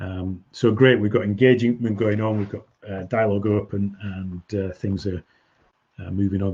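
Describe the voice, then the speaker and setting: A man speaks at a moderate pace with a fairly low pitch and a dark, mellow tone. His voice is somewhat breathy, and his intonation stays fairly even. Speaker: business coach. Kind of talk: webinar presentation. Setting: online webinar.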